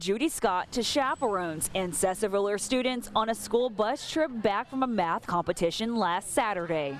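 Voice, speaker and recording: Using an ordinary speaking voice with an American accent, a woman speaks at a moderate pace and medium pitch with lively intonation and hardly any pauses. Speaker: TV news anchor and reporter. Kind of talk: TV news package narration.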